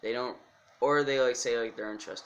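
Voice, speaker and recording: A man is talking. He is soft-spoken. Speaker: music YouTuber. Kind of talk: casual vlog talk. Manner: halting.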